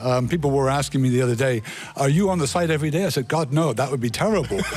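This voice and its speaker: A man talks at a very fast pace with ordinary pitch variation. Noticeable background noise runs behind him. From United States. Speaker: company CEO. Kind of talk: radio interview. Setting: radio studio.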